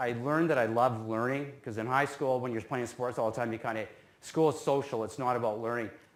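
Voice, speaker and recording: This man speaks with a western Canadian accent. His pitch sits in the medium range and varies in an ordinary way. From Canada, North Vancouver. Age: 50s. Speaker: business alumnus speaker. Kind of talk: talk to students. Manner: casual, self-deprecating humor.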